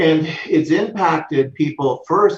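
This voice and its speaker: A plain, everyday voice from a man, fairly high in pitch, with ordinary pitch variation. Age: 60s. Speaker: wealth advisor. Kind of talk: panel interview.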